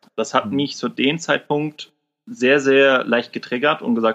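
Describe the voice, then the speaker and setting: The man's voice is pitched fairly high. He keeps to a moderate pace. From northern Germany, Kiel. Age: 30s. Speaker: service technician and part-time trader. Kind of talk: interview. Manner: casual, colloquial.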